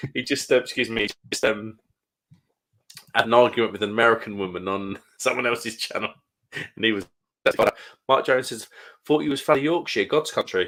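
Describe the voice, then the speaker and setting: Pausing long and often despite a fairly quick pace, a man with a Kent accent talks at medium pitch with a bright, sharp tone and ordinary pitch variation. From Kent, southeast England. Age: 30s. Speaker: live stream host, beer reviewer. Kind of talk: casual chat. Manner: quiet, keeping voice down.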